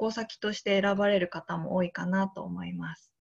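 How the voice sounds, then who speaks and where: A somewhat breathy woman at a fairly slow pace against a quiet background. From Niigata, Japan; Japan. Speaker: teacher, youth volunteer. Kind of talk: slide presentation. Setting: video call. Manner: formal, frequent filler えー. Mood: calm, earnest. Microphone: video call.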